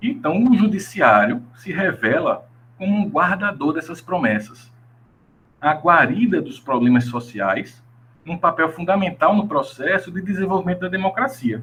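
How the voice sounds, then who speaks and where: This man has a high pitch and a fairly slow pace. His pitch swings very widely. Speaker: law researcher and graduate student presenting research. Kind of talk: academic presentation. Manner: halting, with self-corrections.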